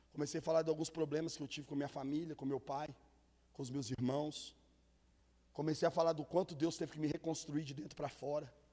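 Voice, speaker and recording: At a fairly quick pace, a man speaks in a fairly high voice with a dark, mellow tone. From Minas Gerais, Brazil (Contagem area). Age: young. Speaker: guest preacher. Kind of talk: sermon. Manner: animated.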